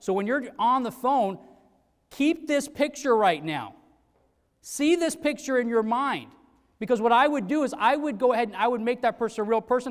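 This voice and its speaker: A loud, animated man with an extremely high pitch, ordinary pitch variation and a moderate pace, on a very clean recording with a silent background. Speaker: sales trainer. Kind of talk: motivational talk. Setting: stage with audience.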